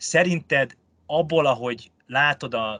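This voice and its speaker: A man is speaking. His tone is bright and sharp. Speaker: podcast host, real estate journalist. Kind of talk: interview.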